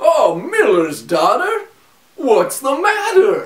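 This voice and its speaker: His put-on character voice sits at an extremely high pitch. The man's pace is very slow. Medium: read story.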